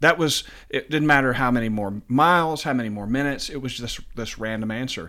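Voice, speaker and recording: A man talks at a fairly quick pace in a medium pitch with a bright, sharp tone, in a very clean recording with a silent background. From Tennessee, Sumner County. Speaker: web design and marketing business owner. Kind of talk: interview.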